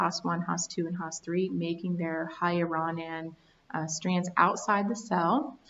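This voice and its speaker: A woman's ordinary speaking voice, medium in pitch, at a fairly slow pace. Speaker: research scientist. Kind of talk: reading slides aloud.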